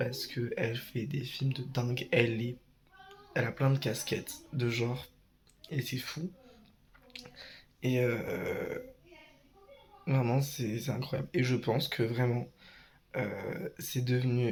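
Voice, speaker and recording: A medium-pitched man speaks at a very slow pace, leaving long, frequent pauses. His intonation is fairly even, and there is noticeable background noise. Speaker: vlogger. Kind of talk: vlog. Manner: hesitant.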